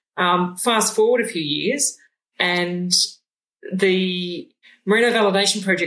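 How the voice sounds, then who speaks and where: With an Australian accent, a woman speaks at a medium pitch in a bright, sharp tone, her pitch varying in an ordinary way. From Moree, New South Wales, Australia. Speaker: sheep geneticist and researcher. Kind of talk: casual interview. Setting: shearing shed.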